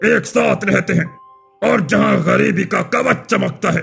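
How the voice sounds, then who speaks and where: Growling in a cartoonish character voice, a man speaks at a fairly slow pace over faint music in the background. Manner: grave, commanding, cryptic.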